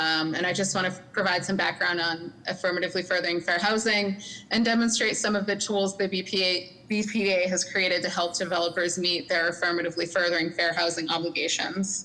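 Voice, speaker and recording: This woman talks at a fairly quick pace in a medium pitch, her loudness very even and her intonation flat and monotone. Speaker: city housing policy manager. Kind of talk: presentation at public meeting. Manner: fast.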